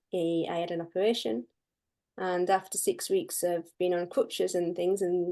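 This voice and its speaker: With a Yorkshire accent, a woman talks at a moderate pace in a fairly low pitch, her tone dark and mellow, with ordinary pitch variation over a quiet background. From northern England (Barnsley, Yorkshire). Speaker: pet and house sitter. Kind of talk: interview.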